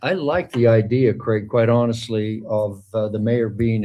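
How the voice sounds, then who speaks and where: Here a man speaks at a moderate pace with a medium pitch, fairly even intonation and a dark, mellow tone. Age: 70s. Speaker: mayor. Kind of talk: city council meeting discussion. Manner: halting, many fillers.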